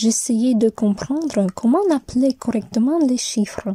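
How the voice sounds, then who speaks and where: Very slowly and with lively intonation, a voice with a Russian accent and a dark, mellow tone comes through in a dry, close sound with no echo. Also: woman. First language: Russian (speaking French). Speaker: university student. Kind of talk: scripted narration.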